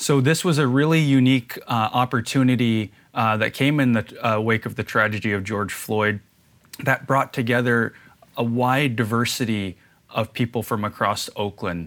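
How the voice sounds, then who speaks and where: This man has an unremarkable speaking voice at a medium pitch. His pitch varies in an ordinary way. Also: moderate pace. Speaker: community safety and police reform consultant. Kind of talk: interview.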